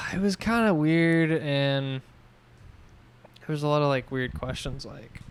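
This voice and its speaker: A man's fairly high voice at a very slow pace, with ordinary pitch variation, big swings in loudness and long, frequent pauses. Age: 20s. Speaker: podcast co-host. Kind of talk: casual chat. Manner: animated storytelling.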